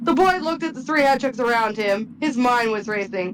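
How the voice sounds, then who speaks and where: There is noticeable background noise. A woman speaks at a high pitch. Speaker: podcast host. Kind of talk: reading aloud.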